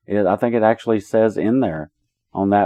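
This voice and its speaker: This man has an American accent and a fairly low pitch. He speaks at a moderate pace. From Appalachian mountains, US South. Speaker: true crime podcast co-host. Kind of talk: casual chat about a true crime case. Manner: animated.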